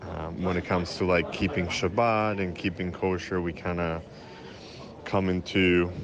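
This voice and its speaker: At a very deep, low pitch and fairly slow pace, a man speaks over noticeable background noise. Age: 30s. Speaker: caller. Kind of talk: recorded question.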